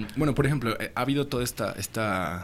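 A man with ordinary pitch variation. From Mexico. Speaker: cryptocurrency consultant. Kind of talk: interview. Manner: halting.

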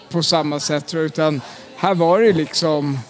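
A man at a high pitch, with noticeable background noise. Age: 50s. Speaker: football supporter. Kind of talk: interview.

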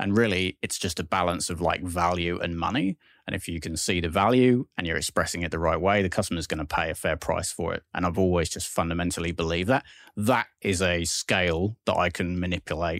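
A man's very deep, low voice at a fairly quick pace, dry and close with no echo, on a very clean recording with a silent background. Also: ordinary pitch variation. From southwest England. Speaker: tech executive. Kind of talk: interview. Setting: studio.

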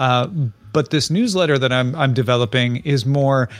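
The man has a plain, everyday voice, pitched medium with ordinary variation. He moves along at a fairly quick pace. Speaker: tech commentator. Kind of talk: casual chat. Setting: video call.

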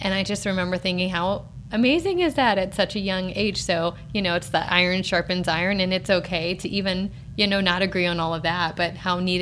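At a fairly quick pace, a woman with a plain, everyday voice talks at a fairly low pitch and with fairly even intonation. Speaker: podcast host, mom. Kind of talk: casual interview chat.

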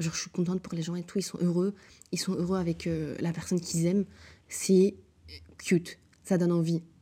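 A woman's fairly low, somewhat breathy voice with a dark, mellow tone, monotone and flat, at a fairly quick pace with long, frequent pauses, on a very clean recording with a silent background. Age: 20s. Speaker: podcast host. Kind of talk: solo casual monologue. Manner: chatty, frequent fillers, English code-switching.

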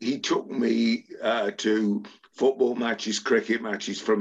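A man speaks at a fairly slow pace with an English accent. His pitch sits in the medium range. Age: 70s. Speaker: sports agent. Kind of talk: interview.

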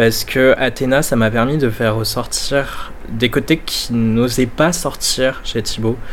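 Very slow in pace, this man barely pauses at all. His pitch sits in the middle, with fairly even intonation. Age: 20s. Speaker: drag queen. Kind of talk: interview. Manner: halting.

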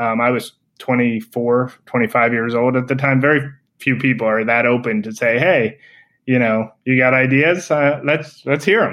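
This man has an unremarkable speaking voice at a medium pitch. He talks at a fairly slow pace with fairly even intonation. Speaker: eyewear designer. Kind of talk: casual chat.

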